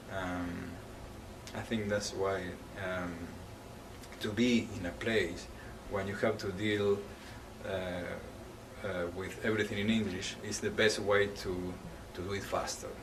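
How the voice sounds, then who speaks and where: A man's fairly low, monotone, flat voice at a fairly slow pace with long, frequent pauses, amid noticeable background noise and audible room echo. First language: not English. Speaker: English language student. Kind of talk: interview answers. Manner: halting.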